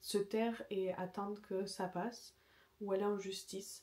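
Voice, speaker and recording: A woman speaks in a dark, mellow tone. Her intonation is monotone and flat. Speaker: home renovation vlogger. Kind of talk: casual vlog chat. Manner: whispering.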